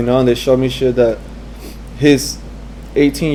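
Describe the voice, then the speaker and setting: The voice is soft-spoken and moves at a fairly quick pace. Background noise is noticeable. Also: man. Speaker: graffiti and fine artist. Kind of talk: interview answer.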